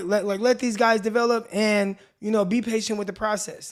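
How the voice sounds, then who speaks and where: A man with a high pitch. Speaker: radio show host. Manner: casual, conversational.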